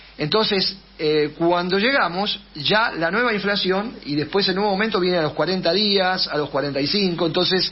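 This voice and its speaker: A high-pitched man with a Rioplatense accent, ordinary pitch variation, very even loudness, hardly any pauses and noticeable background noise. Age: 70s. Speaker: political candidate and teacher. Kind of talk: radio interview. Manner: fast; hesitant, many fillers.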